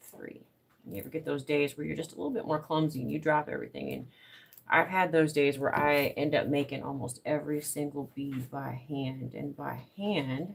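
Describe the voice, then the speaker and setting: This voice carries an American accent. It moves at a moderate pace. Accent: Southern US, thickening. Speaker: crafter live streamer. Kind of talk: casual craft live stream. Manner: relaxed, rambling.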